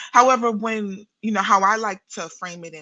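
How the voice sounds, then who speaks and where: In a New York accent, a woman speaks at a moderate pace in a bright, sharp tone with ordinary pitch variation. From New York City. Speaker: therapist and spiritual practitioner. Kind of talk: podcast interview.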